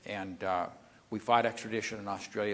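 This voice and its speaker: This is a man speaking. He goes at a very fast pace. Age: 70s. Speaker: trading educator. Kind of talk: seminar talk.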